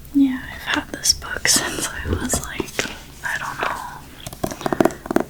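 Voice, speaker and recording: Very slow whispering over noticeable background noise. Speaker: ASMR creator. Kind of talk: casual talk to camera. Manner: soft-spoken.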